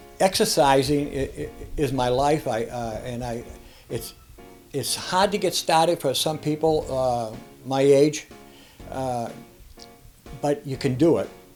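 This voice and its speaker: A man's fairly high voice at a fairly slow pace, with ordinary pitch variation, long, frequent pauses and music in the background. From Boston. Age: 80s+. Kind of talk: interview answer.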